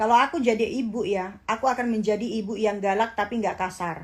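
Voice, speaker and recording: In a very clean recording with a silent background, a woman with a fairly high, somewhat breathy voice talks at a fairly quick pace with ordinary pitch variation. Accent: strong Javanese. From East Java, Indonesia (Jember). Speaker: social media influencer. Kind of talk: casual livestream chat. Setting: Instagram live stream.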